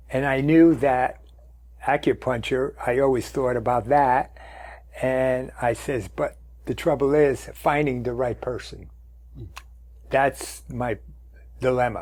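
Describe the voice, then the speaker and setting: Very slow male speech with long, frequent pauses, on a very clean recording with a silent background. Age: 80s+. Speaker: patient. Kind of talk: testimony.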